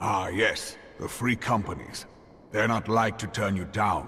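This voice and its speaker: Over clear background noise, a man uses a raspy, put-on character voice with a fairly low pitch at a moderate pace. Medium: video game. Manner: gruff, plainspoken.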